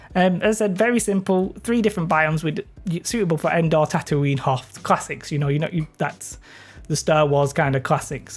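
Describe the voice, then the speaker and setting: Over music in the background, a man with a northern English accent speaks fairly quickly with ordinary pitch variation. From northern England. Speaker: miniature painting hobbyist youtuber. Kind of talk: tutorial. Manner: casual, hesitant with many fillers.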